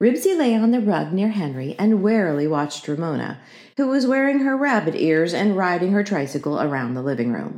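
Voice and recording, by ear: The recording has reading aloud in a natural voice.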